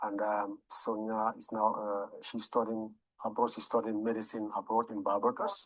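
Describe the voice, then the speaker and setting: A man speaks with a French accent at a fairly low pitch. His intonation is monotone and flat, at a moderate pace. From Cameroon, French-speaking part. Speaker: local politician. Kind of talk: interview. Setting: studio. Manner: halting, many repetitions.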